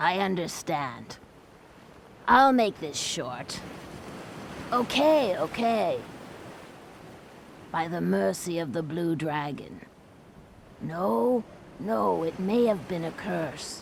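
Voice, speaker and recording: A put-on character voice at a middle pitch speaks at a very slow pace, with long, frequent pauses. Clear background noise runs underneath. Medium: video game. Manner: theatrical, emotional.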